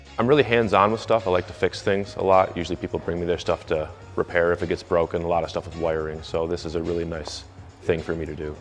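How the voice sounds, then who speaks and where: A very fast man's voice in an American accent, very deep and low, over music in the background. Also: ordinary pitch variation. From Michigan, US Midwest. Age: 30s. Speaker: avionics wire technician. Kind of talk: interview answers. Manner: casual, hesitant with fillers.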